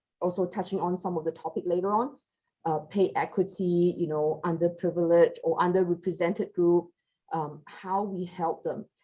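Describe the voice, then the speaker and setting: The woman has a dark, mellow tone at a medium pitch. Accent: non-native. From Malaysia, Sarawak. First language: not English. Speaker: recruiter, panelist. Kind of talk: panel discussion. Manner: halting.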